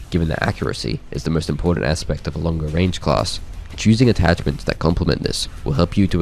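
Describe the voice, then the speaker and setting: Talking at a very fast pace, a man with a very deep, low pitch comes through over noticeable background noise. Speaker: video game guide creator. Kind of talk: game weapon guide narration.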